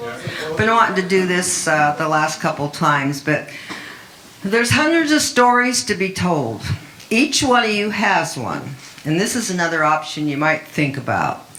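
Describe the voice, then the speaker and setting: Amid noticeable background noise and audible room echo, a woman with a fairly low pitch talks at a moderate pace with very wide pitch swings. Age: 80s+. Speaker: children's book author and fisherwoman. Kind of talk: open mic talk.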